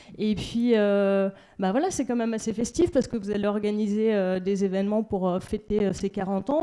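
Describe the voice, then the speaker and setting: Her pitch fairly high for a woman, she speaks at a moderate pace. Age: 30s. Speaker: local elected official. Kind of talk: speech at a general assembly. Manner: halting, many hesitations.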